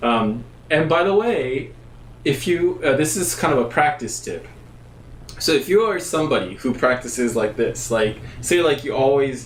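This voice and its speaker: A man with an American accent speaks with lively intonation. Audible room echo and noticeable background noise surround him. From Japan. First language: Japanese. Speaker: bass player giving a music lesson. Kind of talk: live-stream tutorial. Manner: casual, halting with fillers.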